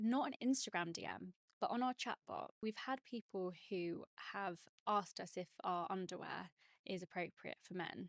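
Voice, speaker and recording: With a dry, close sound and no echo, a woman of medium pitch speaks at a moderate pace in an unremarkable speaking voice with ordinary pitch variation. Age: 30s. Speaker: fashion brand co-founder. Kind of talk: interview.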